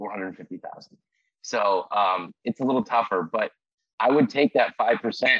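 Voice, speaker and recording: A man with an American accent talks at a moderate pace in an energetic tone. The sound is dry and close, with no echo. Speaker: insurance salesman. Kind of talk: casual interview.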